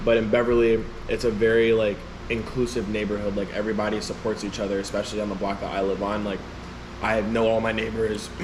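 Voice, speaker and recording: A man with an American accent talks at a very fast pace and a fairly low pitch, in a monotone, flat intonation. Audible room echo and noticeable background noise sit behind his voice. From Chicago, Illinois. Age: 20s. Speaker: rapper. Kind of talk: interview. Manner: casual, filler-heavy.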